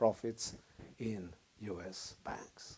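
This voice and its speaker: A man's dark, mellow voice with a Swedish accent and ordinary pitch variation. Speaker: lecturer. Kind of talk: lecture.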